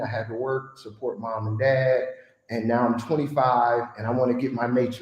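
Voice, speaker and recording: Fairly quick speech in a Chicago accent, with audible room echo. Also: man. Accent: Chicago American English. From US Midwest, Chicago. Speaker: guest sharing life story. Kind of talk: podcast conversation.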